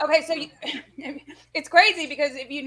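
A woman with an American accent uses a raised, projected voice, high-pitched, bright and sharp, with monotone, flat intonation over a quiet background. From Texas. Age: 40s. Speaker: cooking co-host. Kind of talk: casual chat. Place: home room. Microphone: video call.

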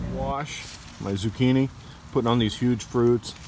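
Noticeable background noise sits behind a man's voice. He has a medium pitch and speaks at a moderate pace. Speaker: gardening YouTuber. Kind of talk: casual garden tour vlog.

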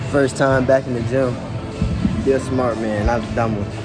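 Clear music can be heard behind the voice. The man speaks at a moderate pace. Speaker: fitness vlogger. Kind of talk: casual vlog chat. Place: gym. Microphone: phone near.

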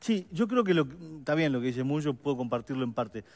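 With lively intonation, the man rattles along at a very fast pace. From Uruguay. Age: 50s. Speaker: political adviser, campaign policy coordinator; guest. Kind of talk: radio/TV panel interview. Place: studio.

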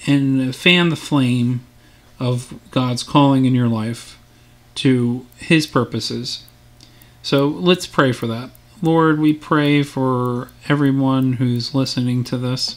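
Fairly even intonation at a very slow pace. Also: man. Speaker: Sunday school teacher. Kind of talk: bible lesson then spoken prayer. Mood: calm, earnest.

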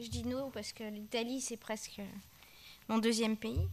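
Talking at a fairly slow pace, this woman uses a high pitch. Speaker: moderator. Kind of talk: panel discussion. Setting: stage with audience. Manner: halting. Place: hall. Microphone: podium.

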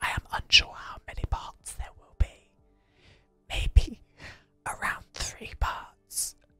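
Faint music plays in the background as a man speaks at a very slow pace with long, frequent pauses. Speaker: gaming content creator / video host. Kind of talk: whispered ASMR game-building commentary. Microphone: studio mic.

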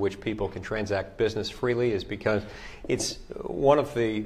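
Using an unremarkable speaking voice, a man talks at a moderate pace with a fairly low pitch and ordinary pitch variation. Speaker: politician answering constituents. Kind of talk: interview answer. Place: office.

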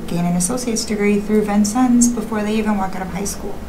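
A woman speaks with fairly even intonation. Noticeable background noise runs underneath. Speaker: guest teacher. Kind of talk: interview answer. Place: studio.

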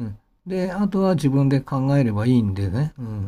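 On a very clean recording with a silent background, a man speaks in a dark, mellow tone that is somewhat breathy. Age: 50s. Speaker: pianist and channel host. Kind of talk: casual monologue. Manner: rambling, many fillers.

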